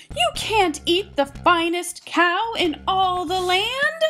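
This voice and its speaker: Over faint music in the background, a woman uses a put-on character voice, squeaky and extremely high-pitched, with lively intonation at a very slow pace. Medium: read story. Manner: brisk, commanding.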